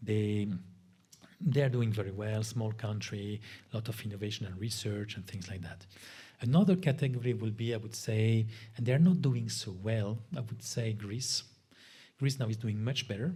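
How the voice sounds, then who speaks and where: Medium pitch and a dark, mellow, somewhat breathy tone from a man at a moderate pace, with ordinary pitch variation and audible room echo. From Spain, grew up in France. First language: Spanish. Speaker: lecturer on European affairs. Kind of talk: guest lecture.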